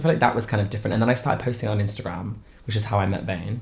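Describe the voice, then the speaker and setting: A man speaks at a fairly low pitch with ordinary pitch variation. Echo from the room can be heard. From Lincoln, England. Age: 20s. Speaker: drag performer. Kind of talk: documentary interview.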